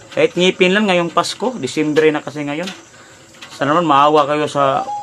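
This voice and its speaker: A man's fairly high-pitched voice at a moderate pace, with ordinary pitch variation and noticeable background noise. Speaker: vlogger and street vendor. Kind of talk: livestream appeal to viewers. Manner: halting.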